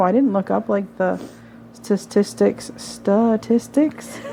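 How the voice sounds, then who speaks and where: A woman speaks over noticeable background noise. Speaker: paranormal podcast co-host. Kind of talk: casual chat.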